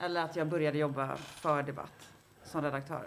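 Using fairly even intonation, a woman talks at a moderate pace in a very deep, low pitch. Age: 40s. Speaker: journalist and feminist writer. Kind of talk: casual chat.

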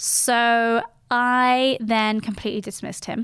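The recording is very clean, with a silent background and a dry, close sound with no echo. A woman speaks at a fairly high pitch. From Geneva, Switzerland. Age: 30s. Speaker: podcast host. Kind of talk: casual monologue.

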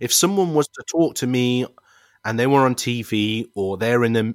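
A man with an East Midlands accent, medium pitch, lively intonation and a moderate pace, in a dry, close sound with no echo. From Leicester, England. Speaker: youth charity worker and basketball presenter. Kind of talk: interview conversation.

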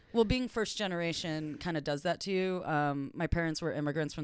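Speaking at a fairly quick pace with a Californian accent, a woman uses a very deep, low pitch on a very clean recording with a silent background. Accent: Californian American English. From US, Los Angeles. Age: 30s. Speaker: first assistant director in TV. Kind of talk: casual interview chat.

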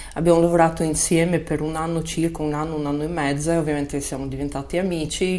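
A woman speaks with noticeable background noise. The room echo is audible. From Moldova, Russian-speaking family in Chisinau. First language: Russian (speaking Italian). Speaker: Italian teacher, immigrant telling her story. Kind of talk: interview storytelling.

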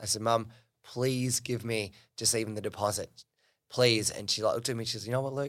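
Speaking very fast, a man with an Australian accent keeps a medium pitch and monotone, flat intonation. The recording is very clean, with a silent background. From Australia, New South Wales Central Coast. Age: 30s. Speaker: business coach. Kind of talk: interview conversation.

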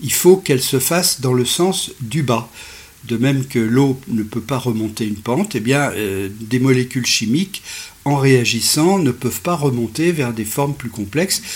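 A man's normal speaking voice at a medium pitch, with lively intonation and a fairly slow pace. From France, Savoie (Alps). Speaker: science podcaster and author. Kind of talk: lecture. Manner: measured, didactic.

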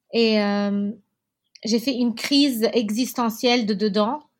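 A woman speaks very slowly in a fairly high, somewhat breathy voice with fairly even intonation. The recording is very clean, with a silent background. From Lebanon, Beirut (Achrafieh). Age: 30s. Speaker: entrepreneur. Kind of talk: interview. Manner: halting, many fillers.

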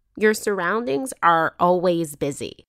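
A woman speaks at a moderate pace with medium pitch in an ordinary speaking voice. The sound is dry and close with no echo, and the recording is very clean over a silent background. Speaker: podcast host. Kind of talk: narrated storytelling with casual chat. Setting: in-person interview at a home.

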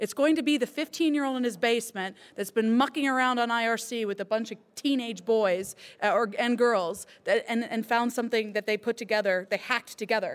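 A Californian accent at a fairly quick pace with ordinary pitch variation, in a very clean recording with a silent background. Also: woman, fairly high pitch for a woman. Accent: American (Californian). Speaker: cybersecurity entrepreneur. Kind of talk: live panel discussion. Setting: stage with audience.

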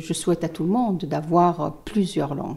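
A woman's voice has a dark, mellow tone with vocal fry and a fairly low pitch that varies in an ordinary way. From Tunisia. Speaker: lawyer. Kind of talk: interview. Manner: halting.

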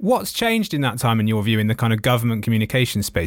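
Speaking with a British accent at a very fast pace, a man holds a medium pitch. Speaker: podcast host. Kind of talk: casual interview chat.

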